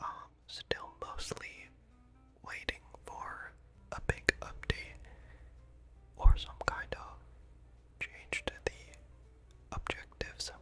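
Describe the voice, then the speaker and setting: Someone whispers at a very slow pace with long, frequent pauses. Music plays in the background. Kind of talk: whispered ASMR reading of game hero backstories and esports predictions. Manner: whispered, soft-spoken.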